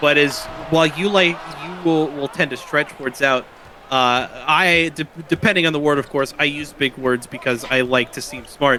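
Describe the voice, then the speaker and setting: A man with an American accent and a fairly high pitch talks at a moderate pace with ordinary pitch variation over noticeable background noise. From rural Louisiana. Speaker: color commentator. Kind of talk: live commentary. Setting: broadcast booth. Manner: shortens words.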